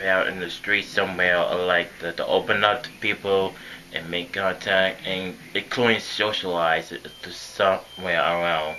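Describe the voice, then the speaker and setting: The speaker talks at a moderate pace in a monotone, flat intonation. Noticeable background noise runs underneath. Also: man, very deep, low pitch for a man. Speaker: vlogger. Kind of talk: personal vlog monologue. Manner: halting.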